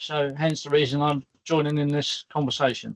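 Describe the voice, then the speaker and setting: Moderate pace from a man with a British accent. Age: 60s. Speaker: crane operator and lifting specialist. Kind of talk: virtual career panel talk. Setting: video call from work.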